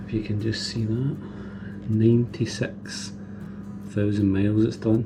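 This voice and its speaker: Someone speaks quietly with a Scottish accent at a very slow pace. Music plays in the background, and room echo is audible. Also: man. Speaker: motorcycle vlogger. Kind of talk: casual vlog. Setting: home garage.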